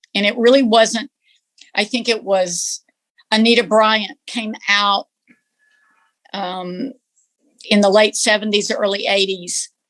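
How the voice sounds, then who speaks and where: A woman with a Texan accent speaks very slowly in a fairly high pitch, with fairly even intonation and long, frequent pauses. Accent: Texan Southern US. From East Texas. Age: 60s. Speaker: interviewee. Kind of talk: interview, personal reflection.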